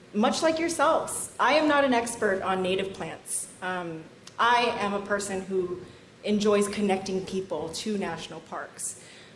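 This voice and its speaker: Over noticeable background noise and audible room echo, a woman talks at a fairly slow pace with lively intonation. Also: medium pitch for a woman. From Vietnam, raised in US. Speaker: national park volunteer coordinator. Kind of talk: conference lightning talk.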